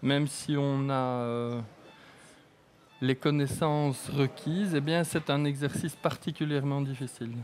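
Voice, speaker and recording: Against music in the background, a man speaks slowly-ish, at a fairly slow pace, with a fairly high pitch. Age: 60s. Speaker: eye surgeon. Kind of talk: live surgery commentary. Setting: operating room, live broadcast.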